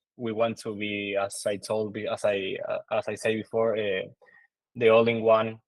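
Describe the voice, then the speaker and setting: A man is speaking. He has an Argentine accent. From Argentina. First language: Spanish. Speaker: crypto project marketing team member. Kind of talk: conference presentation. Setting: online livestream talk. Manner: halting, many fillers.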